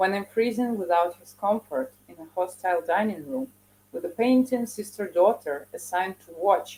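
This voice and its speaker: A woman with a Russian accent speaks at a moderate pace, her medium-pitched voice dark and mellow in tone, with ordinary pitch variation. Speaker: poet. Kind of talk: poetry reading.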